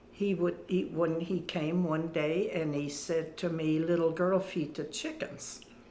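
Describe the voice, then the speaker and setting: A woman speaks very slowly, her words echoing audibly around the room. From Germany (rural farm). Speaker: WWII survivor. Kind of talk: testimony. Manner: halting.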